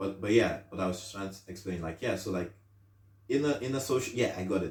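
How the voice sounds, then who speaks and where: A somewhat breathy man with a fairly low pitch talks at a very fast pace, with ordinary pitch variation and big swings in loudness. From Nigeria. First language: not English (Nigerian language). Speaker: podcast host. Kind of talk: casual solo podcast monologue. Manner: halting, many repetitions and restarts.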